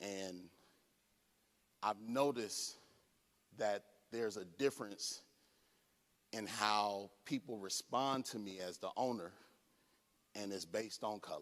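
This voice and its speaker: Here a man's voice sits at a fairly low pitch and moves at a fairly slow pace. Long pauses break up his speech often. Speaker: conference speaker. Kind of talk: lecture. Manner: animated.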